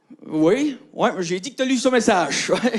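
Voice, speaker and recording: An extremely high-pitched male voice with very wide pitch swings. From Acadian New Brunswick, Canada. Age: 30s. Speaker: comedian. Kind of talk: stand-up.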